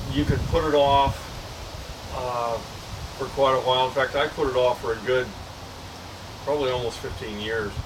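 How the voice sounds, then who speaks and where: A man's medium-pitched voice at a moderate pace, with monotone, flat intonation and long, frequent pauses, plus audible room echo and noticeable background noise. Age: 70s. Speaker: vlogger sharing health update. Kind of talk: casual personal video update. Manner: halting, many fillers.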